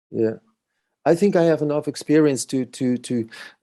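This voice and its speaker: Ordinary pitch variation runs through this man's dark, mellow tone. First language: not English. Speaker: musician. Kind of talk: interview. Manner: halting.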